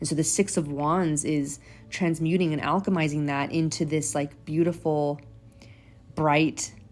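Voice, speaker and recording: Her pitch sits very deep and low. Background music can be heard as she talks. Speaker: tarot reader. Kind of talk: tarot reading to camera. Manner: halting, filler-heavy.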